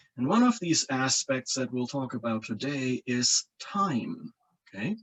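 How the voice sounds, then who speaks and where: A man speaks with a German accent. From Germany, coastal region. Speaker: engineering professor. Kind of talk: lecture. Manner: halting, frequent repetitions and fillers.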